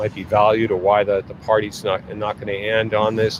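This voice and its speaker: A fairly low-pitched male voice against noticeable background noise. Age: 60s. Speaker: market analyst livestream host. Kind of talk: live market commentary. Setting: outdoors in the rain. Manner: halting, many fillers.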